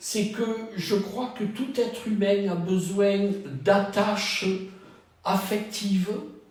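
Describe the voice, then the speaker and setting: At a very slow pace, a man speaks in a high voice with fairly even intonation. Noticeable background noise and audible room echo fill the recording. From southern France, Cannes. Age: 70s. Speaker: retired trainer and wellbeing practitioner. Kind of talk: dating profile interview. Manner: measured, with hesitations.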